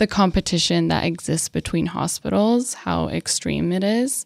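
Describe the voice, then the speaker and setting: A woman with an American accent and an ordinary speaking voice speaks at a medium pitch and moderate pace, recorded very cleanly against a silent background in a dry, close sound with no echo. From Colorado. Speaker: North County reporter. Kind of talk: casual podcast chat.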